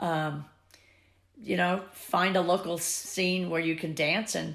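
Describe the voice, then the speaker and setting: Fairly slow, fairly even speech from a woman with a fairly low pitch and vocal fry. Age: 70s. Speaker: swing dance teacher. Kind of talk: interview.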